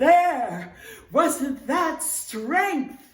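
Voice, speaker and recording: A woman puts on a character voice. Her pitch sits high. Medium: read story.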